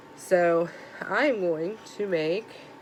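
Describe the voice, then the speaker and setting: A woman at a medium pitch speaks over noticeable background noise. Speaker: crochet YouTuber. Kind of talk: casual book tag show-and-tell. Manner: casual, filler-heavy; volume varies.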